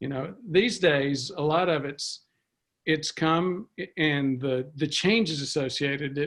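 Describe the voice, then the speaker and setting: Ordinary pitch variation in a man's fairly high-pitched voice. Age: 60s. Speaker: preventive medicine physician. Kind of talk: interview. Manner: halting, many fillers.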